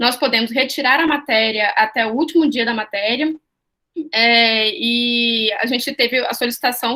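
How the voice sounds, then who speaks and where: A woman's high-pitched voice with a bright, sharp tone and ordinary pitch variation. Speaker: student representative. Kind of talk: online panel discussion. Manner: fast.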